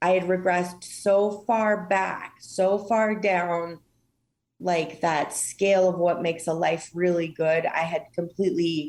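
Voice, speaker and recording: A woman with a fairly low pitch at a fairly slow pace. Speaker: lung cancer patient. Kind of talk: personal testimony in podcast interview. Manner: loud and boisterous.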